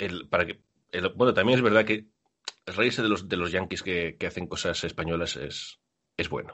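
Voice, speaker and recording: A man speaks at a moderate pace in a very deep, low pitch. His pitch varies an ordinary amount. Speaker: basketball podcast host. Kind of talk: casual chat.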